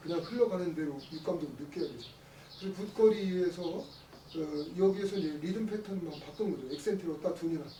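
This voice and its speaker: Amid noticeable background noise, the talking goes at a fairly quick clip. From South Korea, Chungcheong (Nonsan). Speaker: traditional music professor and moderator. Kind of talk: panel discussion.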